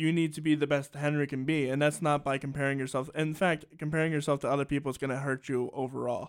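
A man at a very fast pace, flat and monotone with hardly any pauses, on a very clean recording with a silent background. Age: 20s. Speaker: podcast host and musician. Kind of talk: casual interview. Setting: studio, broadcast on radio.

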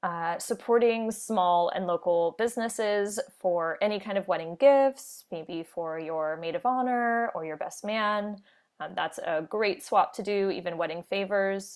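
A woman with an ordinary speaking voice talks at a medium pitch in an American accent, at a fairly slow pace with ordinary pitch variation. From US, Orlando, Florida. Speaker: wedding planner. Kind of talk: interview. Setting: remote call from home office.

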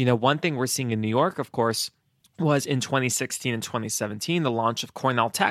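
At a fairly quick pace, a man speaks in an ordinary speaking voice of medium pitch with ordinary pitch variation, recorded dry and close with no echo, very clean, with a silent background. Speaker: podcast host. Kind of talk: interview questions.

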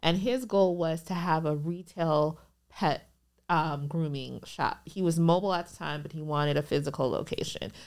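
A woman with an American accent and a normal speaking voice talks at a moderate pace and a fairly low pitch, with ordinary pitch variation. Her loudness swings widely in a very clean recording with a silent background. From Minnesota, US; Liberian family. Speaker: business attorney. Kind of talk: casual interview chat.

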